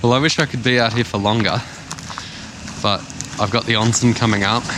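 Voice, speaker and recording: With an Australian accent, a man talks at a fairly quick pace and very even loudness over noticeable background noise. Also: medium pitch for a man. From Australia (Sydney). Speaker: travel vlogger. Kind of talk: casual vlog narration. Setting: outdoors at night in snow. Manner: animated. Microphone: muffled, speaking through jacket.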